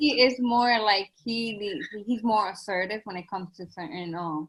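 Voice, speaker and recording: A woman with a Spanish accent speaks at a medium pitch and a moderate pace, somewhat breathy, with ordinary pitch variation and big swings in loudness. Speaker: educator. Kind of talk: casual chat.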